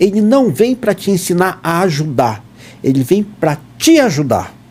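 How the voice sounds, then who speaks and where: A man's high, dark and mellow voice with very wide pitch swings at a moderate pace. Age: 60s. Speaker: dentist and scout leader. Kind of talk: podcast interview.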